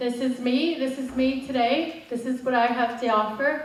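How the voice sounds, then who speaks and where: There is audible room echo as a woman with an American accent speaks at a high pitch with fairly even intonation. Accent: half Derry, half American. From Northern Ireland, Derry. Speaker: motivational coach. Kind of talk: motivational talk.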